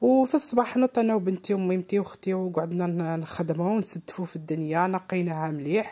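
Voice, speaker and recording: Her tone dark and mellow, a woman of medium pitch talks at a moderate pace with lively intonation and hardly any pauses. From eastern Algeria. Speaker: home cooking vlogger. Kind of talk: vlog narration.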